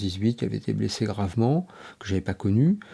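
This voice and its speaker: This man has a dark, mellow tone and a fairly low pitch, talking at a fairly quick pace. The recording is very clean, with a silent background. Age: 60s. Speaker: former army officer, association president. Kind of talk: interview testimony. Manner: hesitant, many fillers.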